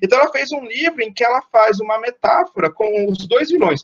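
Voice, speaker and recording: High-pitched and animated, a man speaks at a fairly quick pace. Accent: Brazilian. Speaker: guest lecturer. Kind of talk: online lecture. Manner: fast.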